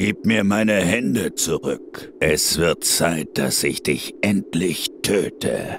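A man at a very slow pace with hardly any pauses, very even in loudness, over clear background noise. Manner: terse, menacing.

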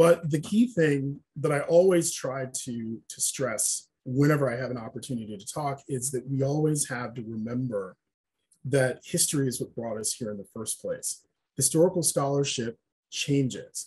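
Somewhat breathy and fairly high-pitched, a man speaks at a moderate pace with ordinary pitch variation and big swings in loudness. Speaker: historian and preservation consultant; panelist. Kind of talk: presentation lecture. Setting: webinar video call. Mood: earnest, explanatory. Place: home room. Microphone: webcam.

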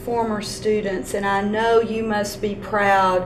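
Through noticeable background noise, a woman talks at medium pitch with fairly even intonation. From Texas. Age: old. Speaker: school superintendent; interview host. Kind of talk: interview. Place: meeting room.

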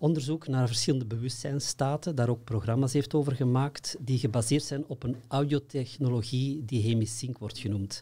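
A man's somewhat breathy voice, medium in pitch with ordinary variation and a dark, mellow tone, at a moderate pace. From Belgium, Antwerp; Belgium. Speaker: consciousness workshop trainer. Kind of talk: interview. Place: studio. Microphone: studio mic.

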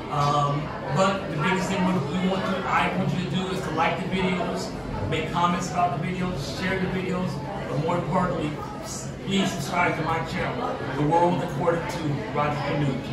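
A man at a moderate pace, with audible room echo and loud background noise. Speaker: restaurant vlogger. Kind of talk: casual vlog chat. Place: hall.

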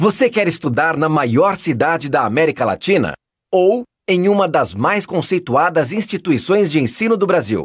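His voice keeps a very even loudness while his high pitch swings very widely, and this man talks at a moderate pace. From Brazil. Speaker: voice actor. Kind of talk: TV commercial read.

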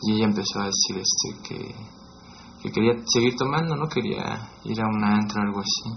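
Light background noise sits behind a man's voice. He talks at a fairly quick pace yet pauses long and often. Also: fairly low pitch for a man, ordinary pitch variation. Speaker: documentary interviewee; interviewee. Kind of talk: personal testimony. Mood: subdued, reflective storytelling. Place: home room.

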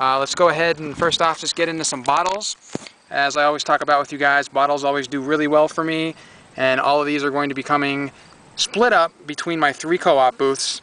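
Fairly quick speech from a man, fairly even intonation, dry sound with no echo. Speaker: reseller. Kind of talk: casual vlog chat. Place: street. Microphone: phone near.

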